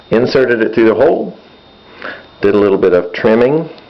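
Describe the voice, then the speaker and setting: A man's voice over noticeable background noise. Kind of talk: casual repair tutorial.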